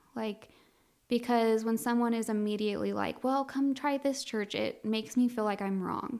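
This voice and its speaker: In an American accent, a woman with an unremarkable speaking voice talks at a moderate pace, her pitch fairly high and her intonation fairly even. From Colorado. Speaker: refugee resettlement worker. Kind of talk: interview testimony.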